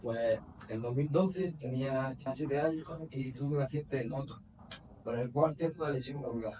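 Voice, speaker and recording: Through noticeable background noise, a man speaks at a medium pitch with fairly even intonation. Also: moderate pace. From Spain, Granada. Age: 30s. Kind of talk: interview.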